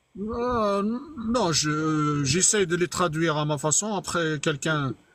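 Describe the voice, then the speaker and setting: The speech moves at a very slow pace, with very even loudness and ordinary pitch variation. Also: man, fairly high pitch for a man. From Algeria. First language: Arabic (speaking French). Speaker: live streamer, religious debater. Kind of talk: heated debate. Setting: online live stream. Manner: halting.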